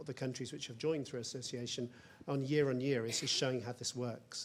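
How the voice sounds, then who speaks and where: A man speaks with a British accent at a fairly quick pace. His pitch sits in the medium range, and his intonation is flat and monotone. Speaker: EU research policy official. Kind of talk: panel discussion.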